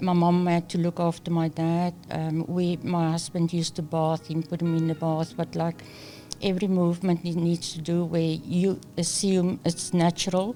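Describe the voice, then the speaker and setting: A woman with a fairly low pitch and a dark, mellow tone speaks at a moderate pace in a monotone, flat intonation, her loudness very even throughout. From South Africa, near Cape Town. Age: 60s. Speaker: employment consultant. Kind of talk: interview.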